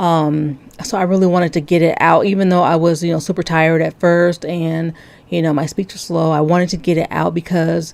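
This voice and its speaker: A woman's fairly low voice at a moderate pace, in a monotone, flat intonation. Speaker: religious video commentator. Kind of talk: video commentary breakdown. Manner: frequent filler words and hesitations.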